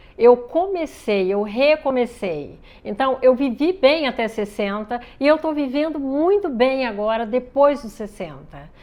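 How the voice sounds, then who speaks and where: With lively intonation and big swings in loudness, a woman with a high voice speaks at a fairly slow pace. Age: 60s. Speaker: ballet project founder. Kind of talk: interview. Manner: halting.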